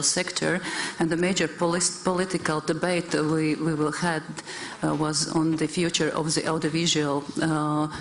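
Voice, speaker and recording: A woman with a Latvian accent speaks at a moderate pace in a fairly low pitch with monotone, flat intonation, amid audible room echo and noticeable background noise. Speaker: government minister. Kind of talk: conference panel remarks. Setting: conference hall with audience. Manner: halting, frequent repetitions.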